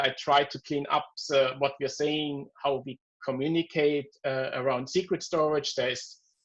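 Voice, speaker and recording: A man talks at a fairly high pitch. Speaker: software developer presenting a demo. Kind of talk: technical presentation in a video call. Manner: halting, many fillers and repeated words.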